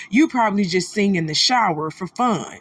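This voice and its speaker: A woman speaks in an animated tone with lively intonation. Her voice is somewhat breathy. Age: 30s. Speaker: celebrity gossip commentator. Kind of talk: commentary on a replayed livestream clip.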